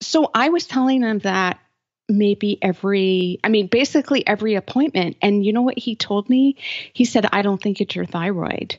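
Here is a woman with a plain, everyday voice. Her medium pitch shows ordinary variation, and she keeps a moderate pace. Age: 40s. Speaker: health blogger and podcaster. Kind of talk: interview.

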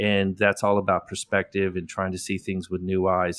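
A man with a very deep, low pitch at a fairly quick pace, on a very clean recording with a silent background and a dry, close sound with no echo. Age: 50s. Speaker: landscape photographer. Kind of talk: casual interview.

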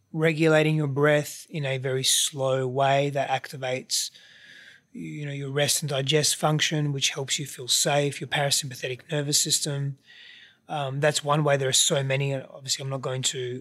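On a very clean recording with a silent background, a man with an Australian accent speaks at a moderate pace, his fairly high pitch held in a monotone, flat intonation. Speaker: podcast guest, relationship coach.

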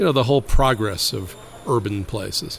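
Against noticeable background noise, a man speaks at a medium pitch with an American accent. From Brooklyn, New York. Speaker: urban policy expert. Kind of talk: interview.

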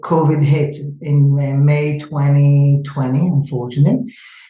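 With an Israeli accent, a man speaks at a very slow pace in a monotone, flat way, his fairly high voice somewhat breathy and dark and mellow in tone. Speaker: startup founder and events manager. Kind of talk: interview. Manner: halting.

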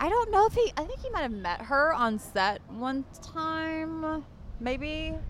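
A woman speaks at an extremely high pitch with very wide pitch swings. Her pace is very slow, and background noise is noticeable. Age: 30s. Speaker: reality TV cast member. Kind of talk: casual chat. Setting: in person meeting.

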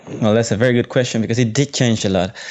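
This man talks at a medium pitch with a Spanish accent. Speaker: photographer and journalist. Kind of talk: interview. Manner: halting.

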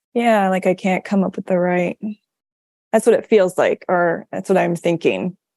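Speaking at a moderate pace, a woman with an American accent keeps a medium pitch and fairly even intonation. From US Midwest, northwest Missouri. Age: 30s. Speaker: podcast listener taking part in coaching series. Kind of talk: personal conversation with a coach. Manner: hesitant, many fillers and self-corrections.

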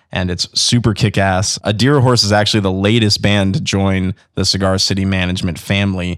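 A man's plain, everyday voice, fairly low in pitch, at a moderate pace in a very clean recording with a silent background. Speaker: radio podcast host. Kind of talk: casual interview and announcements. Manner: upbeat, casual.

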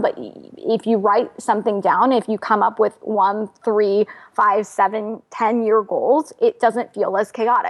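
In an ordinary speaking voice, a woman with a fairly high pitch talks at a fairly slow pace with ordinary pitch variation. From United States, first-generation immigrant family. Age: 30s. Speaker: financial journalist and author. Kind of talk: interview.

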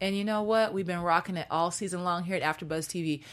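A woman with an American accent speaks very fast at a fairly low pitch, on a very clean recording with a silent background. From Seattle, US Pacific Northwest. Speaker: TV after-show host. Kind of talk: casual chat. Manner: animated.

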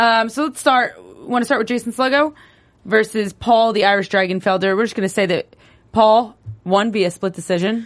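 An animated woman with an American accent, a fairly high pitch, ordinary pitch variation, and a moderate pace over a quiet background. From New Jersey. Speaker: sports podcast host. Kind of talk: casual chat.

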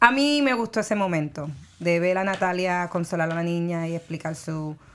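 With a Puerto Rican accent, a woman speaks at a fairly low pitch with lively intonation. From Puerto Rico. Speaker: entertainment show co-host. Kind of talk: casual chat.

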